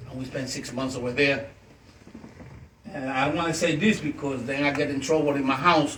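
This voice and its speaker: A man talks with fairly even intonation. His voice carries audible room echo over noticeable background noise. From Puerto Rico, Ponce. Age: 60s. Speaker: author and activist. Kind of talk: fireside chat interview. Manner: halting.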